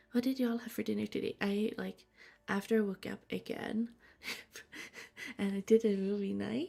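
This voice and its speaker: Long pauses come often as a woman talks in a soft-spoken way. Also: moderate pace. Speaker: streamer. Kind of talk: gaming livestream chat. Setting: home livestream at night.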